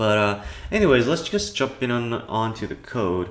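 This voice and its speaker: A man is talking. Very wide swings mark his pitch. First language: Cantonese. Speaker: programming tutorial youtuber. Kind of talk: tutorial. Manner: casual, hesitant with fillers.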